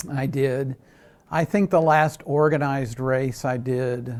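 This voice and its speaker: Speaking with fairly even intonation, a man holds a medium pitch. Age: 60s. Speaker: amateur triathlete. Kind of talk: TV news interview. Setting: interview filmed on camera. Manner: halting, many fillers.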